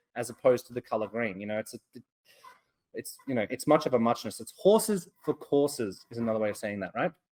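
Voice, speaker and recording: An Australian accent marks this man's very fast speech, which has very wide pitch swings and a dry, close sound with no echo. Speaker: trading educator. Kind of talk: webinar lecture. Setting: webcast.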